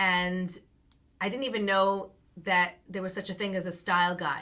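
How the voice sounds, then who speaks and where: In a Long Island accent, a woman with a medium-pitched voice and a bright, sharp tone speaks at a moderate pace with fairly even intonation. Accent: Long Island New York. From US Northeast, Long Island, New York. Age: 50s. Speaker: branding coach. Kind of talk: interview.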